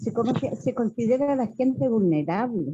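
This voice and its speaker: This woman has a dark, mellow tone that is somewhat breathy, and her intonation is lively. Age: 70s. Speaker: student. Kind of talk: question in class.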